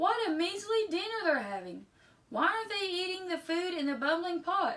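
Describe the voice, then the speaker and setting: A woman does a put-on character voice at an extremely high pitch, speaking at a moderate pace with ordinary pitch variation. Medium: read story.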